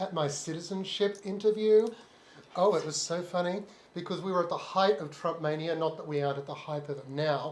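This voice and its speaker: A man with an Australian accent, high pitch and a fairly quick pace. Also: ordinary pitch variation. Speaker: live stream co-host. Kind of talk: casual chat. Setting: live stream.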